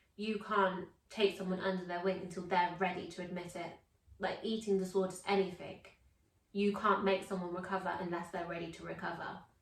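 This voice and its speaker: A woman speaks at a fairly quick pace with an English accent, her medium pitch held in a monotone, flat intonation. Her loudness swings widely, and audible room echo surrounds the voice. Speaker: vlog co-host. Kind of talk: casual chat.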